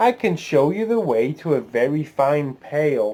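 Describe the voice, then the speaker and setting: A man puts on a squeaky character voice with a fairly high pitch and talks at a fairly slow pace. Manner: helpful, sing-song.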